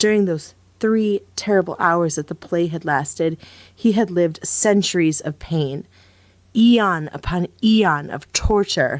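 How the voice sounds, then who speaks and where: Recorded very cleanly against a silent background, a plain, everyday voice moves at a fairly slow pace with ordinary pitch variation. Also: woman, fairly low pitch for a woman. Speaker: voice actor. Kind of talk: audiobook narration.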